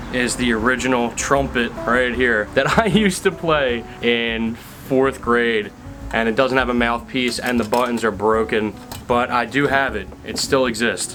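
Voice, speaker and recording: A man's fairly slow mumbling at a medium pitch, with fairly even intonation and music in the background. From Pennsylvania. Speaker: YouTuber, urban explorer. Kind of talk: Q&A vlog, casual.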